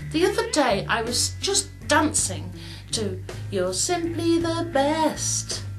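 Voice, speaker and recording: A woman's put-on character voice over clear music in the background. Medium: comedy sketch. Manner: breezy, says darling.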